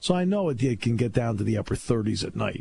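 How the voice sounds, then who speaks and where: Somewhat breathy, a man at medium pitch talks at a very fast pace with a dark, mellow tone. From New England. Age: 60s. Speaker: sports radio host and play-by-play announcer. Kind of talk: casual talk radio chat. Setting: radio studio.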